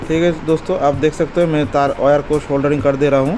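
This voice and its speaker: A man's monotone, flat intonation with a non-native accent, music in the background. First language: not Hindi (speaking Hindi). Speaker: electronics repair technician. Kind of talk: repair tutorial; casual talk to viewers.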